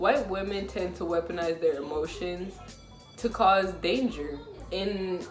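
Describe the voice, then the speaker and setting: A woman speaks at a medium pitch with ordinary pitch variation. Audible room echo and noticeable background noise are present. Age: 20s. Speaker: vlogger and life coach. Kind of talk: casual commentary monologue. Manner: soft-spoken.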